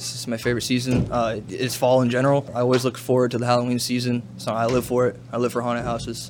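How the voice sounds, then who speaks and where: A man with an American accent speaks at a very fast pace, with hardly any pauses and a monotone, flat intonation. Noticeable background noise runs under his voice. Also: medium pitch for a man. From Oregon, US. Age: young. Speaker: scare actor. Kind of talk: on-location interview. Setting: inside a haunted attraction.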